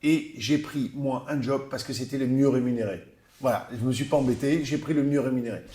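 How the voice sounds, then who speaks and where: A man's medium-pitched voice with a dark, mellow tone, big swings in loudness, fairly even intonation and a moderate pace. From southern France, Narbonne. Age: 60s. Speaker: businessman and rugby club president. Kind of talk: interview. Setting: office. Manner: hesitant, many fillers.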